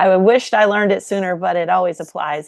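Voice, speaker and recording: Dry and close with no echo, this recording has a quiet background. A woman with an unremarkable speaking voice talks at a moderate pace in a fairly low pitch with fairly even intonation. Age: 50s. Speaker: podcast host. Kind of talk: casual interview conversation.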